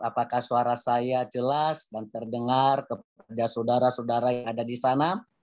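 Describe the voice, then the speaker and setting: This is a man's voice. His pitch is medium. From Nias, South Nias (Indonesia). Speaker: preacher. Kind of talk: sermon. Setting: video call. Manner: halting.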